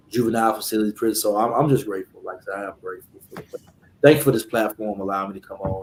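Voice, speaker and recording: A man with an American accent talks at a very fast pace and a fairly low pitch, his intonation fairly even and his loudness swinging widely. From US South, Alabama. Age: 40s. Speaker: life coach and former felon. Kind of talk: interview. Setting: video call from his office.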